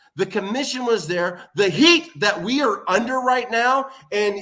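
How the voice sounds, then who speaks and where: A man with a raised, projected voice talks at a fairly slow pace with lively intonation. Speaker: pro wrestling manager character. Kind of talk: heated wrestling promo. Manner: loud.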